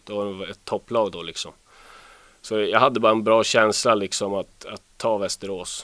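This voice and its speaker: A man speaks at a moderate pace with a fairly low pitch. His intonation is monotone and flat, and the recording is very clean with a silent background. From northern Sweden, Luleå. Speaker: ice hockey player. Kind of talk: interview.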